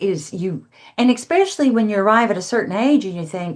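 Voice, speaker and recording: Speaking at a moderate pace, a woman with an ordinary speaking voice uses lively intonation at a medium pitch. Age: 60s. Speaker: counselor and author. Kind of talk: podcast interview.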